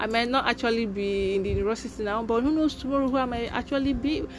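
Music plays behind a woman talking at a fairly quick pace, her fairly high pitch showing ordinary variation. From Nigeria, Imo State (Igbo). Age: 20s. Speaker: podcaster. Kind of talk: personal monologue.

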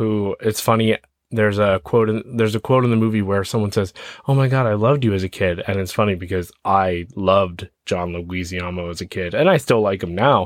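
Recorded very cleanly against a silent background, the speech moves at a fairly quick pace with ordinary pitch variation. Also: man, fairly low pitch for a man. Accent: Canadian. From Ontario, Canada. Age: 30s. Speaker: podcast host, film reviewer. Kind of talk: casual movie review monologue. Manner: hesitant, many fillers.

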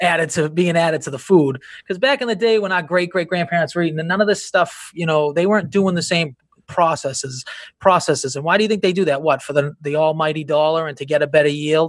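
A man with an American accent, fairly high pitch and a very fast pace. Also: ordinary pitch variation. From Boston area, Massachusetts. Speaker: pasta shop and restaurant owner. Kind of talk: casual interview chat. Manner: halting, many fillers.

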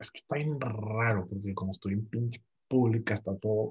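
Here a man speaks at a fairly low pitch and a moderate pace. His voice is somewhat breathy. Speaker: podcast co-host. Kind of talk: casual chat.

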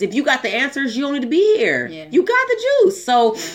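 Over noticeable background noise, a woman talks at a very fast pace in an animated tone with very wide pitch swings. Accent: American. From Southern California. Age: 30s. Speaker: podcast co-host. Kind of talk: casual chat.

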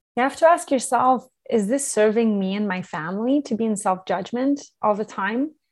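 A woman with a plain, everyday voice speaks at a fairly high pitch and a moderate pace, with lively intonation and hardly any pauses, against a quiet background. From Quebec, Canada. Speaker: entrepreneur and parenting advisor. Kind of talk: interview.

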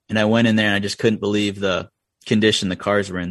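Against a quiet background, a man with a Vermont accent talks very fast at a fairly low pitch in a monotone, flat intonation. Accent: Vermont rural. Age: 30s. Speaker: racing crew chief. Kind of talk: casual interview chat.

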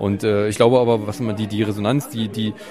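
Noticeable background noise sits under this man's voice. He talks very fast at a medium pitch. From East Germany. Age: 30s. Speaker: architect and photographer. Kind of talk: interview. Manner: hesitant, repeats words.

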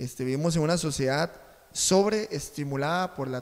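With a plain, everyday voice, a man talks at a moderate pace and a fairly high pitch. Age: 30s. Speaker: journalism student and co-host. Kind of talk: casual chat.

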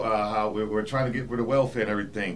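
Over noticeable background noise and audible room echo, a man with an American accent talks at a very fast pace with fairly even intonation. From South Carolina, Charleston. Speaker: army veteran and chamber of commerce president. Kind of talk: town hall panel discussion.

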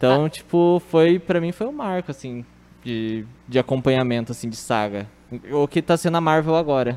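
With an ordinary speaking voice, a man talks at a moderate pace, his fairly high pitch carried by lively intonation. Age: 20s. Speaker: office worker and film fan. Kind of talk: casual chat.

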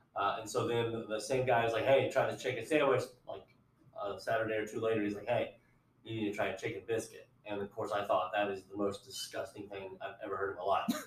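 Against noticeable background noise, a man with an American accent talks at a very fast pace. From Ohio. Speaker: podcast co-host. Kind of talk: casual chat.

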